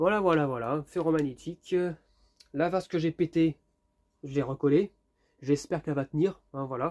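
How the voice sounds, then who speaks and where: With a fairly high pitch, a man speaks at a moderate pace with ordinary pitch variation and long, frequent pauses, in a very clean recording with a silent background and a dry, close sound with no echo. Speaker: YouTuber, lamp collector. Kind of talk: casual vlog review. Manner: hesitant, many fillers.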